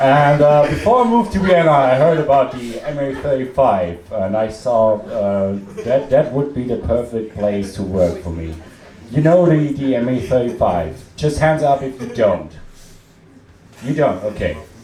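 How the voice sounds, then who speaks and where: A man with an Austrian accent at a fairly high pitch and moderate pace, lively intonation, audible room echo and noticeable background noise. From Austria, Salzburg. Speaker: comedian. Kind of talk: stand-up. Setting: stage with audience. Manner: halting, with many fillers.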